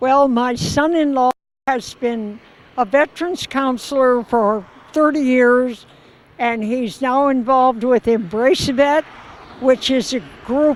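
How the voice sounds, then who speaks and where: A woman with a high pitch speaks at a fairly slow pace amid noticeable background noise. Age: 80s+. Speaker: charity ride participant. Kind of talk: interview.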